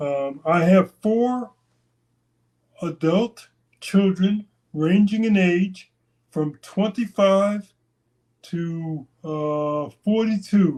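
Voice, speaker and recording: At a very slow pace with long, frequent pauses, a man talks in a high pitch with a dark, mellow tone. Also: ordinary pitch variation. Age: 60s. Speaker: interview guest, channel owner. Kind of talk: interview, casual personal storytelling. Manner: hesitant, with fillers and restarts.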